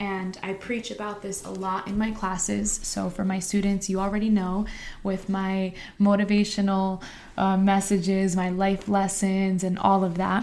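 With an American accent, a woman speaks at a moderate pace in a flat, monotone way. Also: medium pitch for a woman. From New Jersey, Harrison. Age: 20s. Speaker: podcast host and high school teacher. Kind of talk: motivational monologue.

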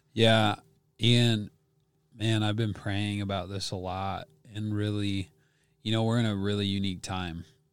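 A man with an American accent, fairly low pitch and monotone, flat intonation, at a fairly slow pace with long, frequent pauses, in a very clean recording with a silent background. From US Midwest, Wisconsin. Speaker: worship leader. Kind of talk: casual interview.

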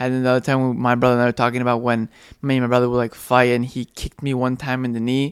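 Speaking very fast, a man keeps a monotone, flat intonation at a medium pitch. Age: 20s. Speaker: podcast co-host, father. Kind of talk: casual chat.

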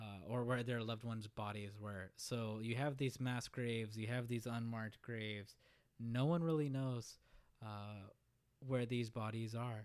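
A man speaks at medium pitch and a moderate pace, in an ordinary speaking voice. His intonation stays fairly even. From Oklahoma (Tulsa). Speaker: podcast host. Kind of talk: history monologue. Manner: frequent filler uhs.

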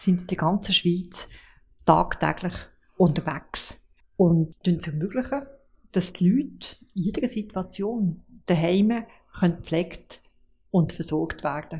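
Somewhat breathy and fairly low in pitch, a woman speaks at a very slow pace with ordinary pitch variation and long, frequent pauses. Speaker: home care association director. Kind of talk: interview. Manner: halting.

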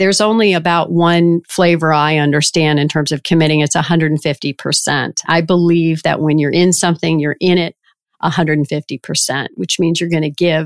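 A woman with an American accent speaks at a fairly quick pace in an unremarkable speaking voice, her pitch fairly low and her intonation fairly even. The sound is dry and close with no echo, and the recording is very clean against a silent background. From US South, Richmond, Virginia. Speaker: payments company chief executive. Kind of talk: interview.

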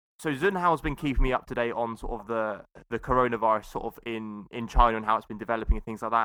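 With a British accent, a man speaks at a very fast pace in a medium pitch. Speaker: podcast host. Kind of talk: casual chat.

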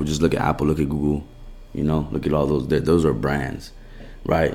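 There is audible room echo around a man's very deep, low voice. He speaks with an American accent. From Los Angeles, US. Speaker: sports rehab business owner. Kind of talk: casual chat.

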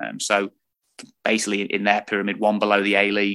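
With an East Midlands accent, a man speaks at a fairly quick pace in a fairly low, bright and sharp voice against a quiet background. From Lincolnshire, England. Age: 20s. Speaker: football coach. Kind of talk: interview.

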